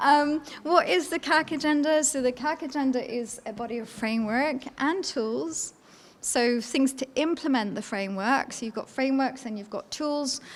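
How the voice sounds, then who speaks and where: A woman talks at a moderate pace in a Scottish accent, her voice high-pitched with ordinary pitch variation. Her loudness swings widely. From Scotland, Edinburgh. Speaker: law professor. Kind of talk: conference lecture. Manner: hesitant with fillers.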